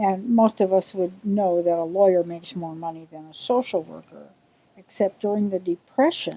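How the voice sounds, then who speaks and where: A woman with an American accent speaks at medium pitch with a dark, mellow tone and a moderate pace. The sound is dry and close, with no echo. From US Midwest, Milwaukee suburbs, Wisconsin. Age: 70s. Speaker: interviewee recalling childhood. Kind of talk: interview.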